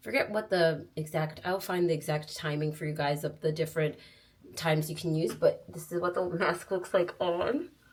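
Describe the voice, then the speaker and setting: Somewhat breathy, a woman with a fairly low voice talks at a moderate pace in fairly even intonation. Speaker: lifestyle vlogger. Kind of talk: casual vlog tutorial. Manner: muffled by face mask; casual, chatty.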